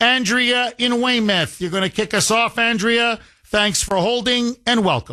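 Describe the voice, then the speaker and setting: Over a quiet background, a man with a high pitch and a bright, sharp tone projects a raised voice at a fairly slow pace. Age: 50s. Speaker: talk radio host. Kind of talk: talk radio.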